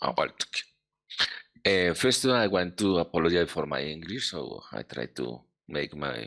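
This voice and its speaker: A man with a Colombian accent and a bright, sharp tone swings his pitch very widely. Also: quiet background. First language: Spanish. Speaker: government researcher. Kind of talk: conference presentation. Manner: halting.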